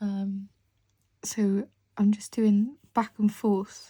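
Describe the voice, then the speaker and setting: The woman's voice sits at a medium pitch and sounds somewhat breathy. It has a dark, mellow tone. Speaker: artist and drawing teacher. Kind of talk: tutorial. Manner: casual, conversational.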